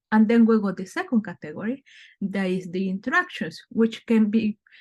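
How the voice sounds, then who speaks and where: With a somewhat breathy quality, a woman speaks at a moderate pace with ordinary pitch variation against a quiet background. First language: not English. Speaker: brand consultant. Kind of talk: webinar presentation. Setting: online webinar.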